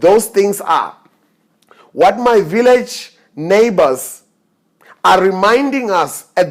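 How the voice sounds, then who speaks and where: A man's voice at a fairly slow pace. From South Africa, northern provinces. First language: Setswana or Sepedi. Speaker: keynote speaker. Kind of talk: conference keynote speech. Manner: formal.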